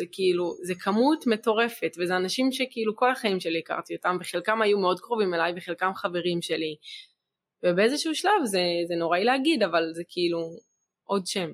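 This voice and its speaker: In a plain, everyday voice, the speaker moves at a moderate pace with lively intonation. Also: woman, medium pitch for a woman. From Israel, Gaza border kibbutz. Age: young. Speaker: sister of a hostage, evacuee. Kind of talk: testimony. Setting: studio, filmed.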